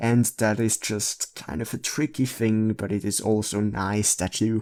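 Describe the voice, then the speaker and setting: The man's voice sits at a fairly low pitch. His intonation stays fairly even. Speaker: photo editing tutorial creator. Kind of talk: tutorial. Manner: slow; halting.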